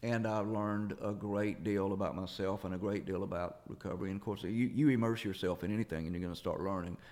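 A man with a Southern US accent talks at a very fast pace, with hardly any pauses. His pitch sits fairly low and his intonation stays fairly even. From US South, Jackson, Mississippi. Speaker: singer-songwriter. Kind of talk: interview.

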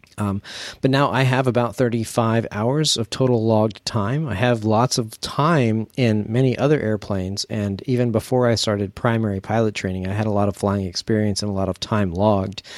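A man speaks in a normal speaking voice at a fairly low pitch, with fairly even intonation, a moderate pace and hardly any pauses. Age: 40s. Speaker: podcast co-host, student pilot. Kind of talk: casual chat.

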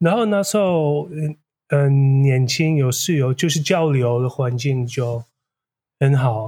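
In a Dutch accent, a somewhat breathy voice with a dark, mellow tone moves at a very slow pace, keeping very even loudness and ordinary pitch variation. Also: man, fairly high pitch for a man. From Netherlands. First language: Dutch (speaking Chinese). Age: 40s. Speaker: graduate student. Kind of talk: interview. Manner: halting.

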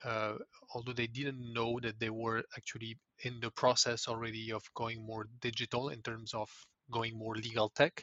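In a French accent, a man speaks with monotone, flat intonation. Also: medium pitch for a man, moderate pace. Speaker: legal tech executive. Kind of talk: interview. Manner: halting, with frequent repetitions.

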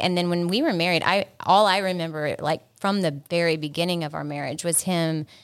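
A plain, everyday voice with fairly even intonation, caught in a very clean recording against a silent background. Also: woman. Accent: American. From South Carolina.

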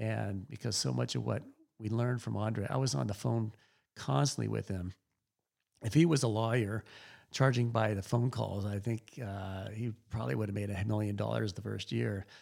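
At a moderate pace, a man with an unremarkable speaking voice talks at a fairly low pitch with lively intonation. The recording is very clean, with a silent background. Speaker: winemaker. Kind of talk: interview conversation.

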